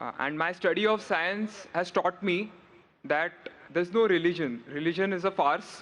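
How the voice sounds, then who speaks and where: A man speaks with a high pitch at a moderate pace. His pitch varies in an ordinary way. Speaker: audience questioner, student. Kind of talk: audience question.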